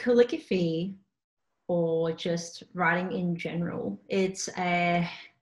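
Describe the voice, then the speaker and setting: Speaking at a very slow pace, a woman with an Australian accent uses a fairly low pitch. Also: fairly even intonation. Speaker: calligrapher and small business owner. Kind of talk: casual interview. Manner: casual, hesitant with fillers.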